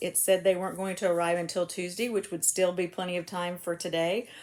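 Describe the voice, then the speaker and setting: Talking at a fairly quick pace, a woman with an American accent keeps a fairly low pitch. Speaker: crochet vlogger. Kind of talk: casual chat. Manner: fast.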